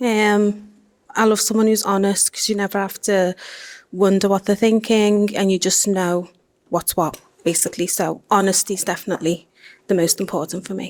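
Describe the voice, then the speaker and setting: Medium-pitched female speech at a moderate pace, with monotone, flat intonation. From Liverpool, England. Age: 20s. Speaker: primary school teacher, dating show contestant. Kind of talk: interview.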